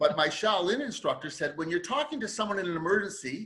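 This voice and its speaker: Projecting a raised voice, a man speaks at a high pitch in a bright, sharp tone with very wide pitch swings. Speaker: podcast host and resilience author. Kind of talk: interview conversation.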